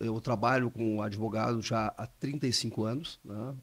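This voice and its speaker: A man speaks in a normal speaking voice at a medium pitch and a fairly slow pace. The recording is very clean, with a silent background. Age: 60s. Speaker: intellectual property lawyer. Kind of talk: podcast interview.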